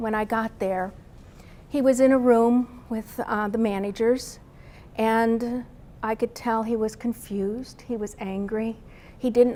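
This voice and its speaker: A soft-spoken woman talks at a fairly slow pace. Her voice is fairly high, with monotone, flat intonation. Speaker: spouse of a brain injury patient. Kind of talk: testimony.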